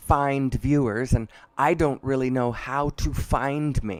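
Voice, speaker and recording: The speaker has an American accent and a flat, monotone delivery. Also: man. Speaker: live stream host. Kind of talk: stream-of-consciousness monologue. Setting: live stream. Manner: halting, with fillers.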